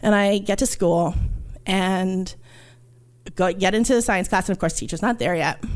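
On a very clean recording with a silent background, a woman with a New York accent speaks at medium pitch and a moderate pace, with ordinary pitch variation and long, frequent pauses. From New York, Puerto Rican family. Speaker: archaeologist. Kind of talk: storytelling. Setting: stage with audience.

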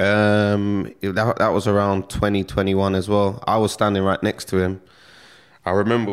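This voice has a London accent. The pace is moderate. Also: man. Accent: London street English. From London, England (Stonebridge, northwest London). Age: 30s. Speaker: rapper. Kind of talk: casual interview.

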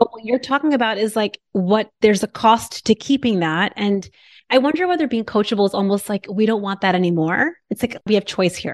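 Fairly high-pitched and fairly quick, a woman talks with lively intonation in a dry, close sound with no echo and a quiet background. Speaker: weight loss coach and physician. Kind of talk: podcast interview chat. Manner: warm, soft, loving.

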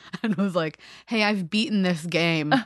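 Over a quiet background, a woman talks in an ordinary speaking voice at a moderate pace, her pitch fairly low with ordinary pitch variation. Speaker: librarian and writer, guest player. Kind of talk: casual comedic banter.

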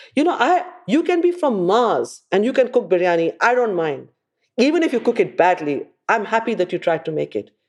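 At a fairly quick pace, a woman speaks in a fairly high pitch with very wide pitch swings. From India. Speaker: chef and restaurateur. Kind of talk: casual interview chat.

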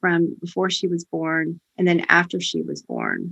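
The voice is a plain, everyday voice. It moves at a moderate pace. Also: woman. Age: 50s. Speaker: podcast host. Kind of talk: faith podcast interview.

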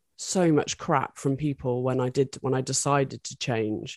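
A woman with a British accent speaks in a very deep, low pitch, the sound dry and close with no echo against a quiet background. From UK. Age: 40s. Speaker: adult film performer and director. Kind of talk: interview.

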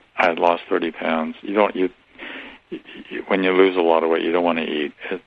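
Over noticeable background noise, a man with a very deep, low pitch talks at a moderate pace in fairly even intonation, with long, frequent pauses. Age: 70s. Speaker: author and spiritual teacher. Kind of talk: interview.

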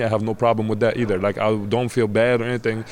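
In an Arabic accent, a man talks at a very fast pace. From Egypt. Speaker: college basketball player. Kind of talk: interview. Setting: media days event.

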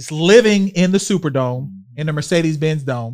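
On a very clean recording with a silent background, a plain, everyday voice speaks with lively intonation. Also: man. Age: 40s. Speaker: podcast host. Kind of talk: casual chat.

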